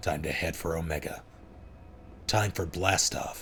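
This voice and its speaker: Over clear background noise, a man puts on a raspy character voice with a very deep, low pitch, speaking at a moderate pace. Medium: read story. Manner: cocky, broken-English bravado.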